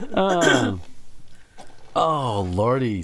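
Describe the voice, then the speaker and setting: A man is speaking with noticeable background noise behind him. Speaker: streamer. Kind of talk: casual chat. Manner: halting.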